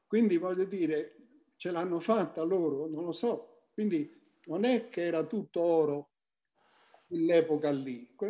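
Pausing often and at length, a man speaks fairly slowly in a high pitch with a dark, mellow tone. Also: ordinary pitch variation. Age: 80s+. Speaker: photographer. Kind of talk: interview.

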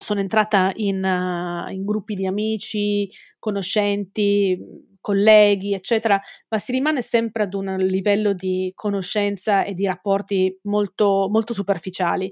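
A woman speaks fairly slowly at medium pitch in a monotone, flat way, in a very clean recording with a silent background and a dry, close sound with no echo. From Italy. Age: 40s. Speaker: forensic entomologist. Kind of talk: interview. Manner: halting.

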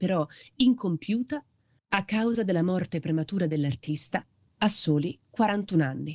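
Speaking at a moderate pace with lively intonation, a woman with a plain, everyday voice and medium pitch sounds dry and close with no echo over a quiet background. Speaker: podcast narrator. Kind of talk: scripted narration.

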